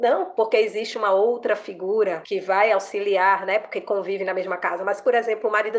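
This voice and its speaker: With hardly any pauses, a woman talks at a fairly quick pace in a medium pitch and a monotone, flat intonation. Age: 40s. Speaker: lawyer. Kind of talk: interview.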